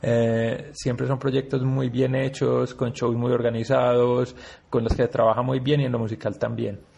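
Over noticeable background noise, a man speaks at a moderate pace with a medium pitch and fairly even intonation. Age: 40s. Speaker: rock festival curator and musician. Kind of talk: interview.

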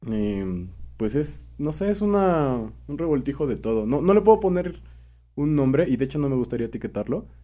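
Speaking at a moderate pace with a Mexican accent, a man uses a fairly high pitch and very wide pitch swings in a dark, mellow tone, on a very clean recording with a silent background. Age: 20s. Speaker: musician and songwriter. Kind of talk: casual interview.

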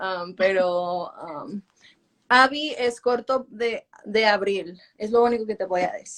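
Very slow, lively speech from a woman with a fairly high pitch. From Los Angeles, Mexican family. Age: 20s. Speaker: singer. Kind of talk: interview.

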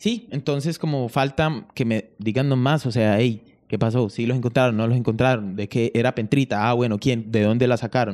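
A man speaks in a plain, everyday voice at medium pitch, with fairly even intonation and a moderate pace. The recording is very clean, with a silent background. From Colombia. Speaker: podcast host. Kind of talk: casual chat.

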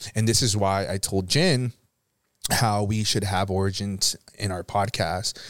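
With an American accent, a man talks at a moderate pace in a fairly low pitch, using a plain, everyday voice. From Florida. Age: 20s. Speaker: podcast host. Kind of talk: casual chat.

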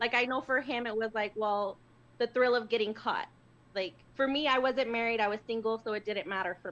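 A woman talks at a fairly quick pace in a normal speaking voice. Her pitch is fairly high and her intonation fairly even. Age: 30s. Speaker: caller. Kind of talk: testimony. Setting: phone call.

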